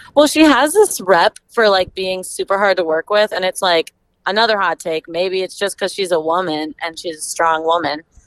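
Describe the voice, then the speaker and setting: Lively intonation in a plain, everyday voice at a moderate pace. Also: woman, medium pitch for a woman. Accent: American. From Minnesota (Stillwater). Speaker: medical student. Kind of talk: casual chat.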